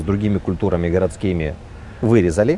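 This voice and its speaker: A man rushes along at a very fast pace while noticeable background noise plays underneath. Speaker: restaurateur. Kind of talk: interview.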